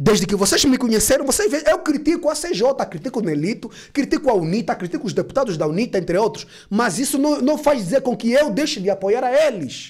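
A man talks at a fairly quick pace in an extremely high pitch. His tone is animated, and his pitch swings very widely. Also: quiet background. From Angola. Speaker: YouTube political commentator. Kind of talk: casual political commentary vlog. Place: studio. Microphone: studio mic.

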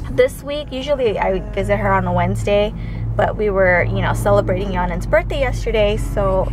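A woman at a moderate pace, the sound dry with no echo, over noticeable background noise. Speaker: parent vlogger. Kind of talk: casual vlog chat. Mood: relaxed, cheerful. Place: car. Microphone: phone near.

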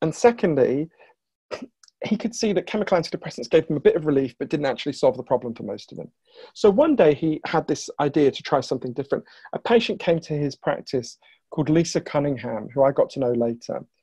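A man talks at a very fast pace with lively intonation and a somewhat breathy sound. The background is quiet. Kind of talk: interview answer, storytelling. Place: home room. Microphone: earbuds.

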